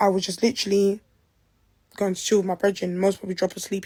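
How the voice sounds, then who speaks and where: A woman with a London accent talks at a very fast pace. Her medium-pitched voice is dark and mellow, with monotone, flat intonation. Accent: London Multicultural English. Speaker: person making allegations. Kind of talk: personal testimony.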